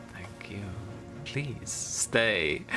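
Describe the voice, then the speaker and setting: A man's whispering in a put-on character voice, with clear music in the background. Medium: actual play. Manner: formal, archaic, no contractions.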